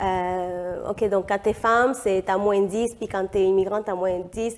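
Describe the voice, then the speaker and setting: Speaking at a very slow pace, a woman keeps a medium pitch with monotone, flat intonation. The recording is very clean with a silent background. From Peru. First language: Spanish (speaking French). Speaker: economist and feminist activist. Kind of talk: podcast interview. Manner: hesitant, many fillers.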